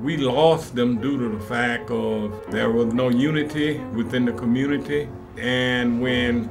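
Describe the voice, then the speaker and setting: There is noticeable background noise behind this man. His voice sits at a medium pitch with fairly even intonation. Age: 70s. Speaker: community center founder. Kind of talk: documentary interview, tour of flood-damaged building.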